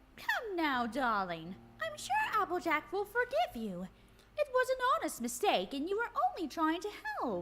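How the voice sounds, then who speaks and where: This put-on character voice sounds female, pitched extremely high, and moves at a moderate pace. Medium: read story. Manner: genteel, soothing.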